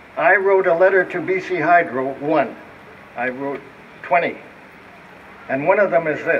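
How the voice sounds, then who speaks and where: Over noticeable background noise, a man with a high pitch and ordinary pitch variation speaks at a moderate pace, leaving long, frequent pauses. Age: 80s+. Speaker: speaker with electro-hypersensitivity. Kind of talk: public talk. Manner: halting.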